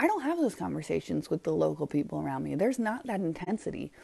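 A woman's voice sits fairly low, with a dark, mellow tone and vocal fry. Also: quiet background. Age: 40s. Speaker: podcast host. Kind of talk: solo monologue. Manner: casual, with fillers.

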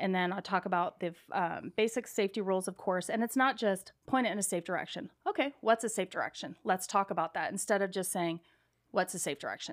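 A woman's medium-pitched, plain, everyday voice with an American accent, ordinary pitch variation and a fairly quick pace, on a very clean recording with a silent background. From California. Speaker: firearms instructor. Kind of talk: interview.

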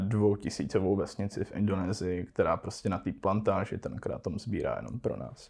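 Pitched fairly low, a man's voice comes through with a dark, mellow tone. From Czech Silesia (Český Těšín). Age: 20s. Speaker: cannabis entrepreneur. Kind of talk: casual interview.

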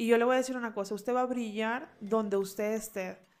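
There is music in the background. The speaker's intonation is fairly even. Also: woman. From Honduras, Tegucigalpa. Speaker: lawyer. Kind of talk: interview conversation. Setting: her office.

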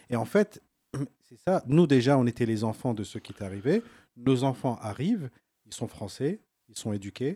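A man's medium-pitched voice with a dark, mellow tone and lively intonation, big swings in loudness, a moderate pace with long, frequent pauses, and a dry, close sound with no echo. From northern France, Lens. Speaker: nurse. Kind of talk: casual chat.

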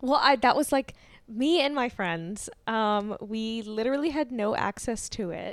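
Recorded very cleanly with a silent background, this is a normal speaking voice with ordinary pitch variation at a fairly slow pace. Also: woman, fairly high pitch for a woman. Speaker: podcast co-host. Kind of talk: casual chat.

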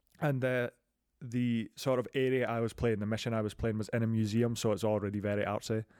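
In a Scottish accent, a man speaks at a fairly quick pace with medium pitch, monotone, flat intonation and very even loudness on a very clean recording with a silent background. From Scotland. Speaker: podcast host. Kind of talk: casual chat about video games.

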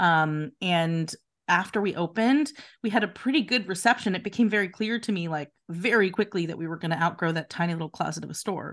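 An unremarkable speaking voice from a woman with an American accent, medium pitch, lively intonation and a fairly quick pace, against a quiet background. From Philadelphia. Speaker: boutique owner. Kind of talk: interview.

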